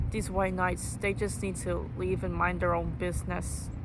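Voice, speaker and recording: Audible room echo and noticeable background noise surround a woman speaking. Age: young, university student. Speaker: YouTuber making callout videos. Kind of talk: rant to camera. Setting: outdoors on campus grass. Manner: animated, indignant.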